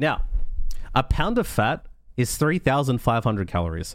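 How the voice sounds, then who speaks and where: This man's pitch swings very widely. His recording is very clean, and the background is silent. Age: 30s. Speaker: podcast host and streamer. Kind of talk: solo motivational monologue. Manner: casual, conversational.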